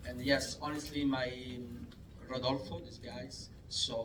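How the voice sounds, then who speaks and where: A man with an Italian accent speaks at a medium pitch with fairly even intonation, with audible room echo and noticeable background noise. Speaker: film director. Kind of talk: festival Q&A. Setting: cinema screening with audience. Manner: halting.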